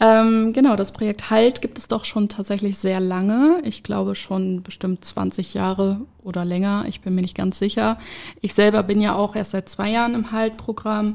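Using fairly even intonation and a medium pitch, a woman talks in an unremarkable speaking voice. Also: moderate pace. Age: 20s. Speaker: social worker, addiction counselor. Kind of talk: interview.

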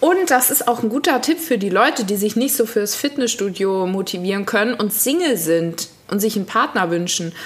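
Over noticeable background noise, a woman with a fairly high voice talks at a moderate pace with lively intonation and hardly any pauses. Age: 30s. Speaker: podcast co-host. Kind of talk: casual chat.

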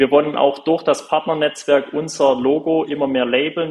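A man talks fairly slowly in a monotone, flat intonation. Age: 20s. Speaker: smart home company founder. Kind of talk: interview.

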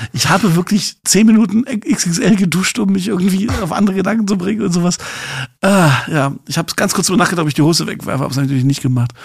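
Over noticeable background noise, a high-pitched man talks at a very fast pace with lively intonation. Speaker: podcast co-host. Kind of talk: casual chat. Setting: remote recording.

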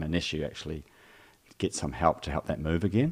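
A man's very deep, low pitch with a New Zealand accent. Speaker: physical and vocal therapist. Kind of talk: casual chat.

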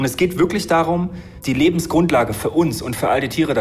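Over noticeable background noise, a man delivers fairly quick speech with lively intonation. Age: 30s. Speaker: marine biologist and conservationist. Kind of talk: interview. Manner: fast.

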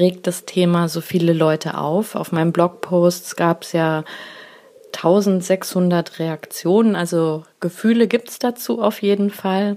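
Speech unfolds at a very slow pace. The intonation remains fairly even throughout. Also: woman. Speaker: blogger and podcaster. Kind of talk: voice message monologue. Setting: voice messages recorded on the go.

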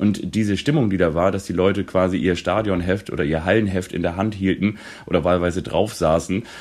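A man has an unremarkable speaking voice, fairly low in pitch with ordinary variation. He talks at a fairly quick pace. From northern Germany, Kiel. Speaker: football podcast co-host. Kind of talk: casual chat.

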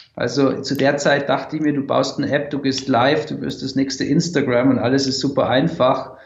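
Over noticeable background noise and audible room echo, a man speaks at a fairly quick pace in a fairly high pitch with monotone, flat intonation. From Austria, Tyrol. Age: 20s. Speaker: startup founder. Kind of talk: interview.

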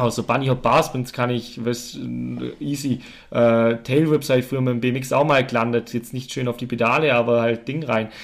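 On a very clean recording with a silent background, a man talks at medium pitch and a moderate pace in a flat monotone. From Allgäu, Bavaria/Swabia, southern Germany. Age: 20s. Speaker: professional mountain biker. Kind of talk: casual interview chat. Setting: on-site recording at a farm. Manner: quiet, soft-spoken.

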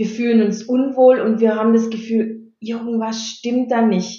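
The woman's voice is somewhat breathy. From Stuttgart area, Swabia (Baden-Württemberg). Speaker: anti-bullying mentor. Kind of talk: interview.

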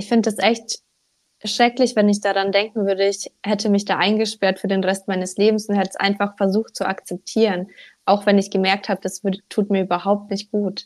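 In a dry, close sound with no echo, a woman at medium pitch talks at a fairly quick pace with monotone, flat intonation. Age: 20s. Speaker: social media coach. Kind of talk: casual interview chat.

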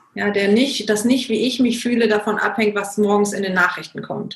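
With fairly even intonation, a woman speaks at a medium pitch in a somewhat breathy voice. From Germany. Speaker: coach and consultant. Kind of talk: interview.

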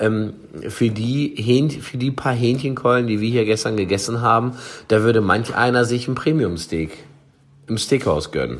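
A man talks at a moderate pace with medium pitch and ordinary pitch variation. Audible room echo surrounds his voice. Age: 40s. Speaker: chef and food product developer. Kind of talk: casual chat.

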